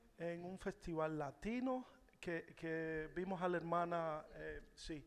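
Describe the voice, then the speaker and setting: Speaking at a very slow pace in a Cuban accent, a man has a high pitch and ordinary pitch variation. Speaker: musician. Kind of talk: testimony. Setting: church. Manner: halting.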